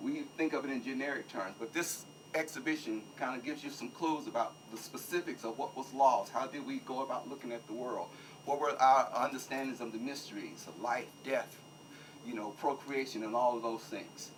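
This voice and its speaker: A man talks at a fairly quick pace with an American accent. Noticeable background noise runs under the recording. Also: medium pitch for a man, ordinary pitch variation. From US. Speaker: exhibition organizer. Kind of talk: speech at an opening ceremony. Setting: museum event with audience.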